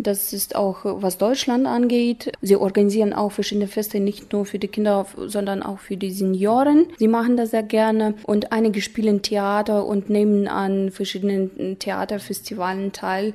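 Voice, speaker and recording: Using a plain, everyday voice, a woman speaks at a moderate pace and medium pitch with fairly even intonation and hardly any pauses. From Kazakhstan, Ust-Kamenogorsk. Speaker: German teacher. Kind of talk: interview.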